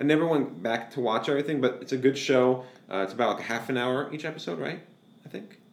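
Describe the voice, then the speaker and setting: Speaking at a very fast pace, a man uses a medium-pitched voice. Noticeable noise sits in the background. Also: ordinary pitch variation. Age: 30s. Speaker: podcast co-host. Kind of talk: casual chat.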